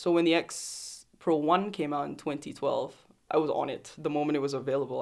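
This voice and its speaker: A woman is speaking. Her voice is very deep and low in pitch. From Singapore. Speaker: photographer. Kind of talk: casual interview.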